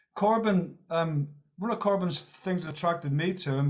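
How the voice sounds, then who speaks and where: A man with a Northern Irish accent speaks at a moderate pace. His pitch is high, with ordinary pitch variation. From Northern Ireland. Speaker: meeting participant, Labour Party member. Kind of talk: discussion contribution at online meeting. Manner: halting, repetitive.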